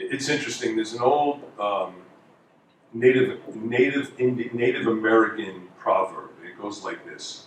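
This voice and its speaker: A man with a New York accent at a moderate pace, big swings in loudness, audible room echo and noticeable background noise. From New York (Queens). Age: 50s. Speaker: former college basketball player and basketball analyst. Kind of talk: speech.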